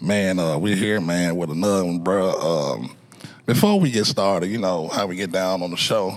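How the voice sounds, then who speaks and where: Speaking at a moderate pace, a man with an American accent has a very deep, low pitch and ordinary pitch variation. Noticeable background noise can be heard. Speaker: podcast host. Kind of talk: casual chat. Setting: studio.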